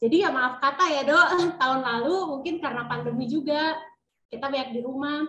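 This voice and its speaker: A woman speaks in a raised, projected voice at a high pitch. Her tone is bright and sharp, and her pace is fairly quick. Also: ordinary pitch variation. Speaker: insurance agent's wife. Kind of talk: testimony.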